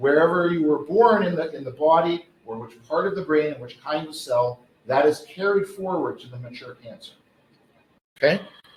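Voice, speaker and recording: In an ordinary speaking voice, a man talks at a moderate pace and fairly high pitch, with ordinary pitch variation and big swings in loudness. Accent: Canadian. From Canada, mountain region. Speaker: professor, pediatric neurosurgery researcher. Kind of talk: lecture.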